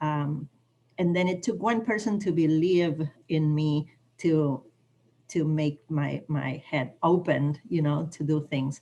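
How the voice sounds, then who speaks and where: Speaking with a non-native accent, a woman uses a very deep, low pitch with ordinary pitch variation. Her pace is very slow and her tone dark and mellow. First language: not English. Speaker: training participant, college staff. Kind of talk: video call training discussion.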